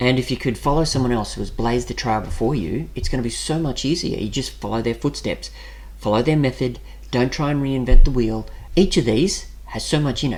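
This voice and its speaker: At a fairly quick pace, a man talks in an Australian accent. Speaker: personal finance YouTuber. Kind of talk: screen-share website walkthrough. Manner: casual, conversational.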